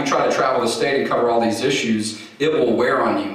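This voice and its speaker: A man with an American accent at a fairly quick pace, ordinary pitch variation, and strong room echo. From Texas (Houston). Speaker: advocacy group president and attorney. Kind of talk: keynote speech. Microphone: podium.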